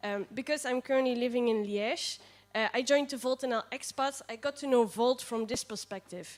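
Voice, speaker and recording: Speaking with a Limburg accent, a woman talks at a fairly quick pace in a high pitch. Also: ordinary pitch variation. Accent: Dutch (Limburg) accent in English. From Netherlands, near Maastricht. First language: Dutch. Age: 20s. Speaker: political party candidate. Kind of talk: candidate speech at assembly. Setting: assembly room with livestream. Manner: hesitant, many fillers.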